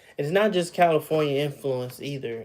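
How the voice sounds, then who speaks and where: The speaker has a slight Southern US accent. The intonation stays fairly even. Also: man. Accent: slight Southern drawl. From Texas. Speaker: livestreamer. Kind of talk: casual chat. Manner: casual, halting with fillers.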